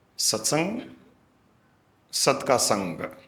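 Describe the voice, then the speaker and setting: A man's voice carries audible room echo. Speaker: spiritual guru. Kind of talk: satsang discourse.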